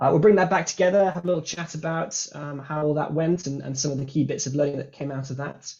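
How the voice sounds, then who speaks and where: The speech runs at a very fast pace with hardly any pauses and sounds somewhat breathy. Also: man, fairly high pitch for a man, fairly even intonation. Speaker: workshop facilitator. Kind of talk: online workshop facilitation. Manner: hesitant, many fillers and repeats.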